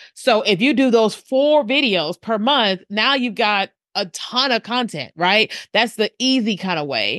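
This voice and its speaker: An unremarkable speaking voice moves at a fairly slow pace with lively intonation. The background is quiet, and the sound is dry and close with no echo. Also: woman, fairly high pitch for a woman. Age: 40s. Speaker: video marketing strategist. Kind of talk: interview.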